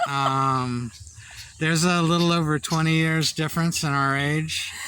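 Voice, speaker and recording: Over noticeable background noise, a man speaks fairly slowly with fairly even intonation and very even loudness. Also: fairly high pitch for a man. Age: 60s. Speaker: vlogger. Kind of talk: casual chat. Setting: outdoors. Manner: halting.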